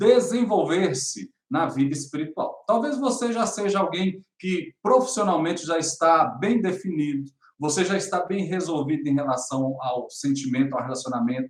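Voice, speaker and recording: A man with a high pitch talks at a fairly slow pace. His pitch swings very widely. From Brazil, northern Minas Gerais (Montes Claros). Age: 40s. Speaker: spiritual development coach. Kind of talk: motivational talk to camera.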